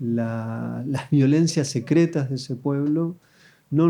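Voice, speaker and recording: Here is a man at medium pitch with a dark, mellow tone. His intonation stays fairly even against a quiet background. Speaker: film critic and podcast host. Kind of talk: live podcast interview before audience. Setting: stage with audience. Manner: hesitant, with fillers.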